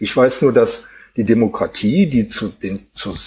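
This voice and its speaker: With vocal fry and very wide pitch swings, a man speaks at a fairly slow pace. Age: 50s. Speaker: streak runner and author. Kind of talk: interview.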